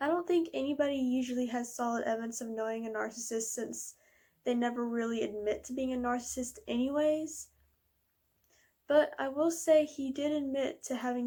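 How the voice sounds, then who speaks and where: A woman with a high pitch and a dark, mellow tone talks at a moderate pace with fairly even intonation. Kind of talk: casual talk to camera. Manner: somewhat monotone.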